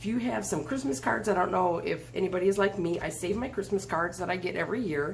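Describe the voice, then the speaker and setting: A woman at medium pitch with very fast pace, lively intonation and vocal fry, plus audible room echo. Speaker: craft video host. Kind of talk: tutorial. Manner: hesitant, many fillers.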